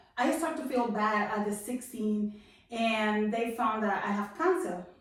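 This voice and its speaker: Over audible room echo, a woman with a Spanish accent speaks at a fairly high pitch with lively intonation. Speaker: testimony guest. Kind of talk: testimony. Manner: halting.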